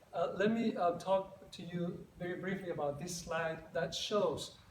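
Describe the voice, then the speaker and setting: A man speaks at a moderate pace with a high pitch and ordinary pitch variation. The room echo is audible, and there is noticeable background noise. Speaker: psychologist. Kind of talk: conference presentation. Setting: conference stage with audience.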